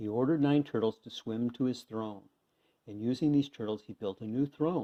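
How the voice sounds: Quiet background, natural reading voice, ordinary pitch variation.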